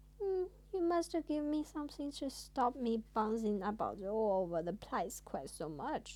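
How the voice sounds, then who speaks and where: A woman uses a squeaky, put-on character voice at a fairly high pitch. She keeps a moderate pace with hardly any pauses. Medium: read story.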